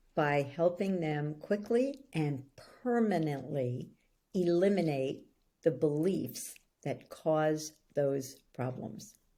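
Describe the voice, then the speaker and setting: A woman with a New York accent speaks very slowly in a very deep, low pitch and a dark, mellow tone, her intonation lively. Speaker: belief-change coach. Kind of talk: interview.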